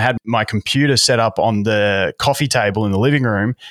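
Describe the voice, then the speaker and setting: In a very clean recording with a silent background, a man with an Australian accent speaks at a medium pitch with ordinary pitch variation. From Melbourne, Australia. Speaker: YouTube content creator. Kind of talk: casual interview chat. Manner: fast talker, effusive.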